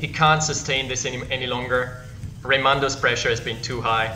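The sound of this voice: A man speaks at a moderate pace and a medium pitch, with little pitch movement and clear music playing in the background.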